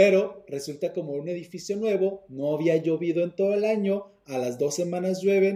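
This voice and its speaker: A man with a high voice and a dark, mellow tone speaks at a moderate pace with ordinary pitch variation. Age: 30s. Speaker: property management business owner. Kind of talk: interview. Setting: video call.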